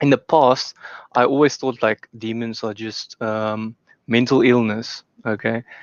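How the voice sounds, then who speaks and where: A man's medium-pitched, monotone voice, flat in intonation, at a very slow pace with long, frequent pauses. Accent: non-native. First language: not English. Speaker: debate guest, industrial engineer. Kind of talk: casual discussion. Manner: halting, many fillers.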